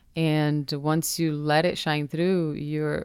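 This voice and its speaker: In a very clean recording with a silent background, a woman speaks with a Portuguese accent. Her pitch is very deep and low, and her pace is moderate. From Brazil, Minas Gerais. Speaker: influencer and entrepreneur. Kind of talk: interview conversation. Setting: studio.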